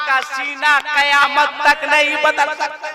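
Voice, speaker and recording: A raised, projected man's voice at an extremely high pitch, monotone and flat, over noticeable background noise. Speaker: Islamic preacher. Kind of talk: religious sermon at a public gathering. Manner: humorous, rousing.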